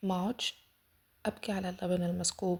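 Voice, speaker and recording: This woman has an Egyptian accent and a medium pitch. Her tone is dark and mellow, and she sounds somewhat breathy. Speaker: self-development podcaster. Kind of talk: casual self-help podcast talk.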